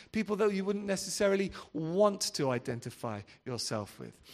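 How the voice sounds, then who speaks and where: At a fairly quick pace, the voice swings very widely in pitch. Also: man. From England, Devon. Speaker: pastor. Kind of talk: sermon.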